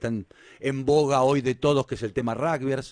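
A man has a plain, everyday voice at a medium pitch. He talks at a fairly quick pace. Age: 40s. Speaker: radio host. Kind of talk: radio interview. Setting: studio.

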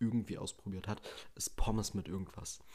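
A man speaks in a monotone, flat delivery at a fairly low pitch. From Germany, Bielefeld (Westphalia). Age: 20s. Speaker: podcast host, trained chef. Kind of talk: casual solo monologue. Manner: unscripted, many filler sounds.

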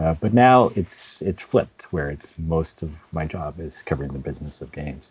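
A man with a very deep, low voice and vocal fry talks at a moderate pace with hardly any pauses. His intonation is lively and his loudness swings widely. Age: 50s. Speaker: games journalist. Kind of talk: interview. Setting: video call.

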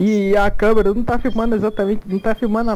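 The delivery is fairly quick, and noticeable background noise accompanies it. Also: man. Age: 20s. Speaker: podcast co-host. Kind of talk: casual chat.

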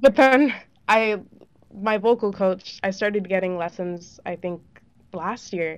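A woman with an American accent speaks at a medium pitch and a fairly slow pace, with ordinary pitch variation, big swings in loudness, and long, frequent pauses. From San Diego, California. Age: young. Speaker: singer, music student. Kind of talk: interview.

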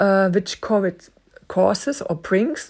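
A woman speaks at a very slow pace in a dark, mellow tone, her medium pitch swinging very widely. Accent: non-native. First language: not English. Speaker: podcast Bible teacher. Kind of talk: teaching monologue. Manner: halting.

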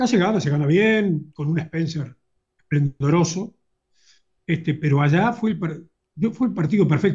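A man with a high voice for a man talks at a fairly slow pace in a Uruguayan accent, his pitch varying in an ordinary way. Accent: Rioplatense Spanish (Uruguayan). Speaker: football fan and YouTube commentator. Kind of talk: casual interview chat.

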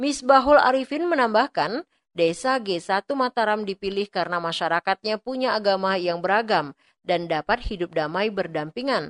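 A woman's unremarkable speaking voice at medium pitch, with lively intonation, a moderate pace and a dry, close sound with no echo. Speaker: radio reporter. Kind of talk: news report.

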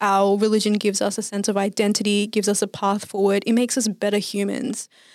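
A woman speaks at a fairly quick pace with an Australian accent. Her pitch sits in the medium range. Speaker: podcast host. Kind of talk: casual chat.

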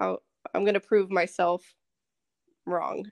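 A woman with an American accent and an ordinary speaking voice, medium in pitch, at a moderate pace, in a dry, close sound with no echo. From Texas, Dallas area. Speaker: Air Force security forces member. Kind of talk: casual chat.

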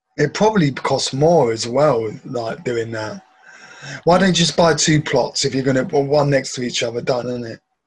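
A man with a fairly high pitch is speaking. He keeps a moderate pace with ordinary pitch variation. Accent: English. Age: 40s. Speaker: podcast co-host. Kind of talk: casual chat reacting to videos. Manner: animated, laughing.

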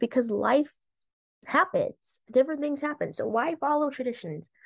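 With a plain, everyday voice, a woman talks at a moderate pace with lively intonation against a quiet background. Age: 20s. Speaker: podcast host. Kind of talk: casual solo monologue. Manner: conversational, with laughs and filler words.

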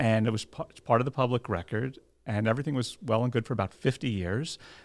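Man with a New Jersey accent, medium pitch, fairly even intonation and a fairly quick pace, on a very clean recording with a silent background. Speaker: lawyer and title agency owner. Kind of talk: interview.

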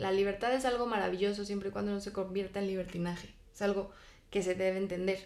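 The speech comes at a very fast pace in monotone, flat intonation, with audible room echo. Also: woman, medium pitch for a woman. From Spain. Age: 20s. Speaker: guest. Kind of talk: casual chat.

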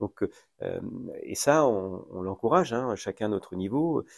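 A man speaks at a medium pitch with ordinary pitch variation. The recording is very clean, with a silent background and a dry, close sound with no echo. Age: 50s. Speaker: mayor. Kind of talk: interview. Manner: halting.

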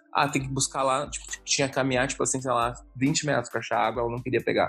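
Noticeable background noise sits behind a voice that moves at a very fast pace with fairly even intonation. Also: man. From Porto Alegre, southern Brazil. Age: 30s. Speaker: podcast guest, COVID-19 patient. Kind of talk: casual interview.

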